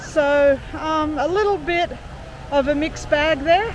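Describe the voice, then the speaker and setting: With an Australian accent, a woman talks fairly slowly in a high pitch with ordinary pitch variation, over noticeable background noise. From Australia, Sydney. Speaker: travel vlogger. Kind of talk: casual chat. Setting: outdoors.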